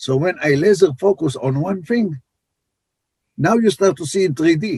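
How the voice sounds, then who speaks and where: With an Israeli accent, a man speaks at a moderate pace in a high voice with lively intonation, the sound dry and close with no echo. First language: Hebrew. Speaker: life coach. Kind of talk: podcast interview.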